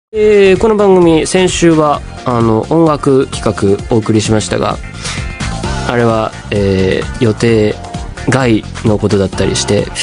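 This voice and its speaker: A man at medium pitch, with very wide pitch swings and clear music in the background. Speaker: radio host. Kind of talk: radio talk, personal anecdote. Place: studio. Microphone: studio mic.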